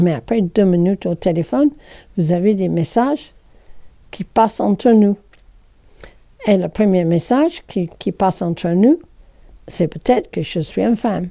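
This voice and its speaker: Speaking in an English accent, a woman has a dark, mellow tone at medium pitch. Her intonation is lively. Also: fairly slow pace. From England. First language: English (speaking French). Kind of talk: explanatory talk.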